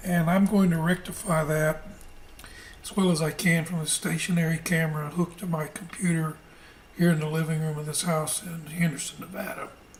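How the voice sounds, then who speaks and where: A woman puts on a raspy character voice, fairly low in pitch and monotone, with flat intonation. She talks at a fairly quick pace over light background noise. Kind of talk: casual, conversational.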